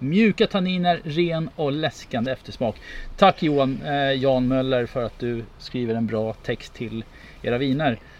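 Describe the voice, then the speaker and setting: A man has an ordinary speaking voice with lively intonation. He talks at a fairly slow pace. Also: medium pitch for a man. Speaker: podcast host, wine taster. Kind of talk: casual chat.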